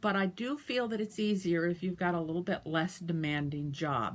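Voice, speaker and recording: A somewhat breathy woman at a moderate pace. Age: 60s. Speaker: dialysis patient sharing experience. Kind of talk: personal advice talk.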